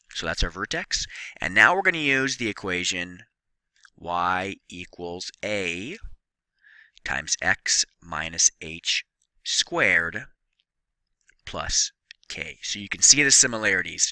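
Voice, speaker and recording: A man speaks at a very slow pace with long, frequent pauses and big swings in loudness. The sound is dry and close with no echo. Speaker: math teacher. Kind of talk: tutorial.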